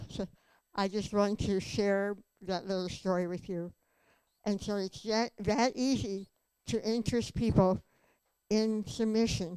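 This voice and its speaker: Speaking at a fairly slow pace with long, frequent pauses, a woman uses a dark, mellow tone and fairly even intonation. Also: medium pitch for a woman. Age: 80s+. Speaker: conference speaker. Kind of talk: testimony.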